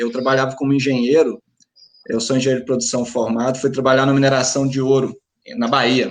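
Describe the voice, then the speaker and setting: A man speaks fairly quickly with monotone, flat intonation. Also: medium pitch for a man. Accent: rural Minas Gerais. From Minas Gerais, Brazil. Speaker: paint store franchise owner. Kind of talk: panel discussion. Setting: live stream.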